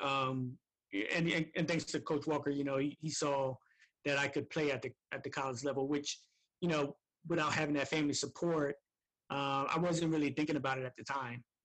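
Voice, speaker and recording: In an American accent, a man talks at a fairly high pitch and a fairly quick pace with long, frequent pauses, very even loudness and monotone, flat intonation, in a dry, close sound with no echo and a quiet background. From New Jersey, Camden. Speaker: former boarding school athlete and alumnus. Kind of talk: interview. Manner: halting, many fillers.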